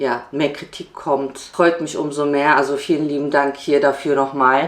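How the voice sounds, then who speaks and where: The woman's pitch is very deep and low. She talks at a moderate pace with monotone, flat intonation. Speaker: family vlogger. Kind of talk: vlog monologue. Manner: casual.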